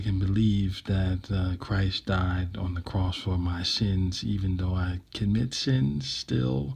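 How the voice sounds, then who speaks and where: Very deep and low in pitch, a somewhat breathy man speaks at a very slow pace with fairly even intonation on a very clean recording with a silent background. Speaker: vlogger sharing personal reflections. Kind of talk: unscripted personal monologue. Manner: hesitant, many fillers and repetitions.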